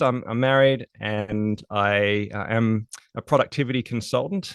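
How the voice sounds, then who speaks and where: Against a quiet background, a man with an Australian accent talks at fairly low pitch with ordinary pitch variation in a dry, close sound with no echo. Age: 40s. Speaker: productivity consultant. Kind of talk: podcast interview.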